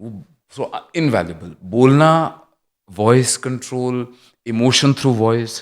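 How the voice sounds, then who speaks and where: A man's medium-pitched voice with ordinary pitch variation and big swings in loudness, on a very clean recording with a silent background. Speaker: actor and former radio jockey. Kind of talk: casual interview chat. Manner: clear diction.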